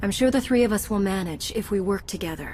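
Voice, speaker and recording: Over clear background noise, a woman rattles off lines at a very fast pace in a put-on character voice at a medium pitch. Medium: video game. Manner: calm, steady.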